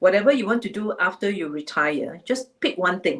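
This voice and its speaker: A plain, everyday voice moves at a moderate pace with lively intonation. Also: woman. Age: 60s. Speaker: HR executive. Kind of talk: webinar talk. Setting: livestream.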